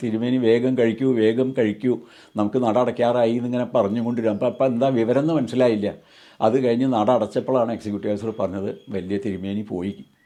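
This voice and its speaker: A man speaks with a dark, mellow tone. His intonation is fairly even. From Kerala, Palakkad district (Ottapalam). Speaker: former temple head priest. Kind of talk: testimony. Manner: halting.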